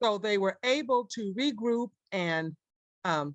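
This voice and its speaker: A woman talks with lively intonation. The sound is dry and close with no echo, and the background is quiet. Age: 60s. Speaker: church member sharing testimony. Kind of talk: testimony.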